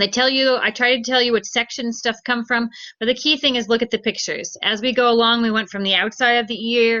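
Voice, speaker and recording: A woman with a plain, everyday voice, a fairly high pitch and a fairly quick pace. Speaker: teacher. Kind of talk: lecture.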